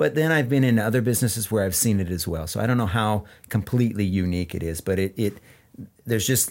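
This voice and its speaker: A man speaks in an American accent with a fairly low pitch. He has an ordinary speaking voice, heard on a very clean recording with a silent background. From central Washington, US. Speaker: business owner, farm land manager. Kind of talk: interview. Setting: studio.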